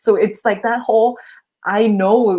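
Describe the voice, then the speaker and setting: A woman is speaking. She has a non-native accent. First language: not English. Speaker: channel host being coached. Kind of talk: live coaching session. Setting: livestream video call.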